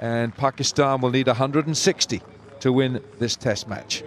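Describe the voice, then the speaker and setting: Noticeable background noise sits behind speech with fairly even intonation. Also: man. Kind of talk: live sports commentary.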